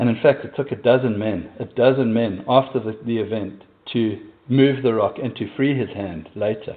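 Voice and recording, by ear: A slightly husky edge at a moderate pace, with ordinary pitch variation. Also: man, medium pitch for a man.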